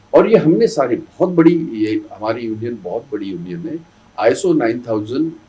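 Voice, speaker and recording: A man's voice has a dark, mellow tone with vocal fry. His pitch swings very widely and his loudness rises and falls a great deal. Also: hardly any pauses. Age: 70s. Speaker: politician and trade union leader. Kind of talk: interview. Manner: emphatic.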